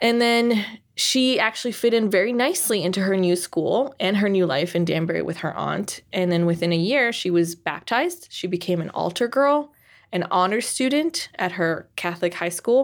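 In an ordinary speaking voice, a woman talks at a moderate pace with lively intonation over a very clean recording with a silent background. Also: medium pitch for a woman. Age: 30s. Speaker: podcast co-host. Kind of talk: casual chat.

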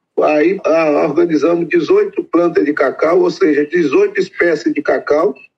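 The man's loudness stays very even. His pace is fairly slow. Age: 60s. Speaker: farmer in land reform settlement. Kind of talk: interview.

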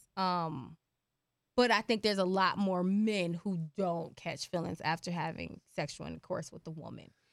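A woman with an American accent speaks in a normal speaking voice at a fairly low pitch. Her moderate pace comes through on a very clean recording with a silent background. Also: ordinary pitch variation. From Philadelphia. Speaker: podcast co-host. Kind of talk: casual chat. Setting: studio.

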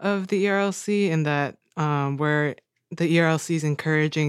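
On a very clean recording with a silent background, a woman with an American accent speaks at a very deep, low pitch with fairly even intonation. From upstate New York. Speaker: law student intern. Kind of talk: casual chat.

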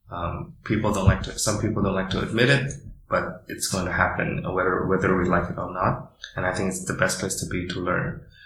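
A man's very deep, low voice with fairly even intonation, plus noticeable background noise and audible room echo. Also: fairly quick pace. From Indonesia. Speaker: startup founder. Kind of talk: interview. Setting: office.

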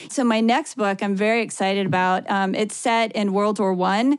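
This woman has a Midwestern American accent and a medium pitch. She keeps a moderate pace and fairly even intonation. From US Midwest, Ohio. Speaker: author. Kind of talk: interview.

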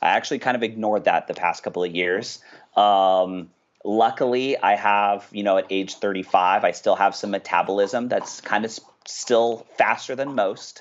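Speaking at a moderate pace, a man with a normal speaking voice has a fairly low pitch and fairly even intonation. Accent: American. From Orange County, California. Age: 30s. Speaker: financial educator. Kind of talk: casual chat.

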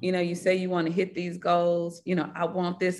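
A woman with a Mississippi accent, medium pitch, and a moderate pace. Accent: Mississippi Southern. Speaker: business founder and CEO. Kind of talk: casual interview conversation.

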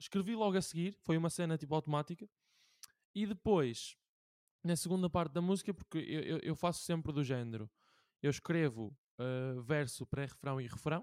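In a European Portuguese accent, a man with a high pitch and a dark, mellow tone speaks with lively intonation on a very clean recording with a silent background. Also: dry, close sound with no echo. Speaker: podcast host. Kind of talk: casual chat.

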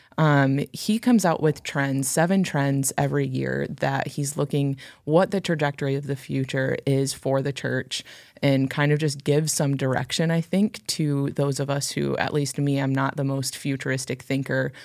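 Using fairly even intonation, a woman with a very deep, low pitch speaks at a moderate pace. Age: 20s. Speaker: podcast co-host, church staff. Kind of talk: casual chat.

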